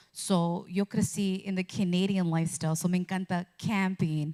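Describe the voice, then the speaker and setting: A woman speaks in a plain, everyday voice at medium pitch and a moderate pace. The recording is very clean, with a silent background. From Canada. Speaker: radio journalist. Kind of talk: interview.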